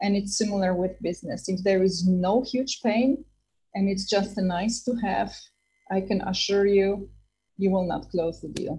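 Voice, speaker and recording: A woman of medium pitch speaks at a moderate pace in a dark, mellow, somewhat breathy voice with fairly even intonation. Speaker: startup entrepreneur and guest lecturer. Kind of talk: lecture.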